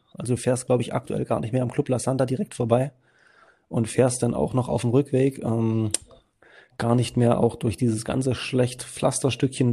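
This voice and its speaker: Speaking at a moderate pace, a man has a medium-pitched, somewhat breathy voice with a dark, mellow tone. His intonation stays fairly even. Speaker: podcast co-host. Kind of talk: casual interview.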